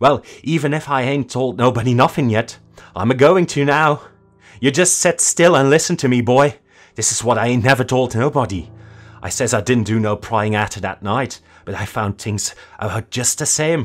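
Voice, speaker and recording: A man shouting in a shrill, put-on character voice at a medium pitch and a moderate pace, with music in the background. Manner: shrill, frenzied, screaming.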